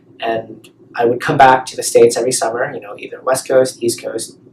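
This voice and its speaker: Noticeable background noise sits behind a man who speaks at a fairly quick pace with an American accent. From grew up in Guangzhou, China at American international school. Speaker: interviewee. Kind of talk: interview testimony.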